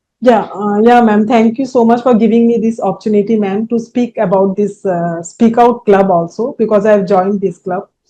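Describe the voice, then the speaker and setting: A woman in an Indian accent with a fairly high pitch and dark, mellow tone, fairly quick with hardly any pauses and fairly even intonation. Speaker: entrepreneur, coaching client. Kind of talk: testimonial interview. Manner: halting.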